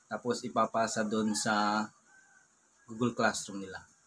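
With light background noise behind him, a man speaks in a medium pitch and a monotone, flat intonation. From Philippines. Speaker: family vlogger. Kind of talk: vlog narration. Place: home room. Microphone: phone near.

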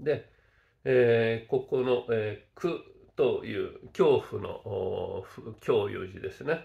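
Against a quiet background, a man speaks at a very slow pace with big swings in loudness. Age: 60s. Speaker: Buddhist teacher. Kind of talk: lecture. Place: home room. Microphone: webcam.

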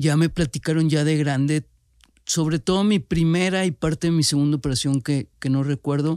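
An ordinary speaking voice at a moderate pace, with very even loudness and fairly even intonation. The sound is dry and close with no echo, on a very clean recording with a silent background. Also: man, fairly high pitch for a man. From Monterrey, Nuevo León, Mexico. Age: 40s. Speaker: cancer survivor and entrepreneur. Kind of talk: personal testimony.

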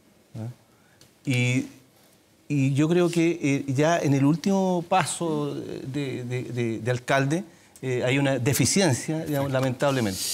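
Speaking at a very slow pace with long, frequent pauses, a man uses a fairly high pitch. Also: ordinary pitch variation. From Puente Alto, Santiago, Chile; Chile. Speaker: city councillor and mayoral candidate; candidate. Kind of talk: televised political debate. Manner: halting, many fillers. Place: studio. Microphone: lapel.

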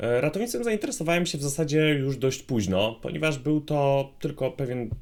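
A man at a fairly high pitch, speaking at a moderate pace. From Poland. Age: 20s. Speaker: paramedic and vlogger. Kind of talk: vlog monologue.

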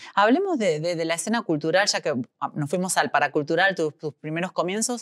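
A woman with an ordinary speaking voice talks fairly quickly at a fairly low pitch with ordinary pitch variation. The recording is very clean and dry, close with no echo and a silent background. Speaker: interviewer. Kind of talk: interview.

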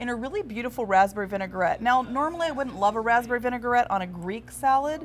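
With lively intonation, a woman talks over light background noise. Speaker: TV food show co-host. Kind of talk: food review commentary. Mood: upbeat, opinionated. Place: cafe.

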